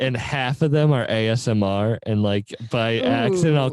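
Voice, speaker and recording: Over noticeable background noise, a man speaks at a moderate pace and medium pitch, with ordinary pitch variation and very even loudness. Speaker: podcast host. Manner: casual, joking.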